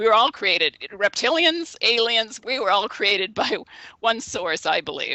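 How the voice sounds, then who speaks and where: A woman speaks with a fairly high pitch. Her intonation is lively and her pace moderate. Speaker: author and alien researcher. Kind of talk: interview.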